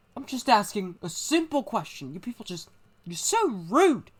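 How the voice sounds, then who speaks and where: Using a put-on character voice that sounds female, the speaker talks at a moderate pace in a fairly high pitch with very wide pitch swings. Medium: machinima. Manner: casual, touchy.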